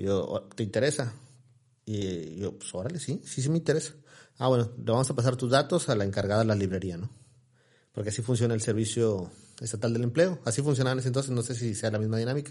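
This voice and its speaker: This man talks at a very fast pace, his medium pitch varying in an ordinary way. His tone is dark and mellow, and the voice is somewhat breathy. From Mexico, Ciudad Victoria, Tamaulipas. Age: 40s. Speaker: news portal founder and influencer. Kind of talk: casual interview.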